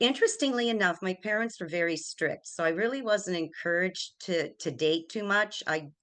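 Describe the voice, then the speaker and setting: Over a quiet background, a woman with a plain, everyday voice and an American accent talks at a moderate pace and medium pitch, with lively intonation and hardly any pauses. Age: 60s. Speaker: retired banker. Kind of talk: interview. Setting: studio.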